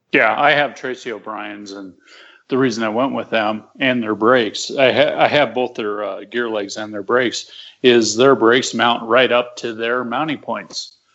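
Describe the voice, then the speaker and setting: The speaker has a plain, everyday voice at a moderate pace. Intonation is fairly even, while loudness swings widely. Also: man, medium pitch for a man. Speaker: aircraft builder and pilot. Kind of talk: casual chat.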